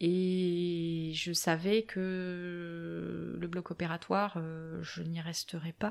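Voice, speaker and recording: At a very slow pace, a woman speaks in a fairly low pitch with a monotone, flat intonation. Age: 30s. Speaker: medical tattoo artist, former nurse. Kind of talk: interview conversation. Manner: hesitant, many fillers.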